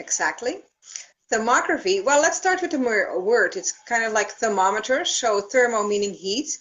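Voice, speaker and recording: With a Dutch accent, a woman speaks at a high pitch and a moderate pace. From Netherlands. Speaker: thermography practitioner. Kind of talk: live stream Q&A.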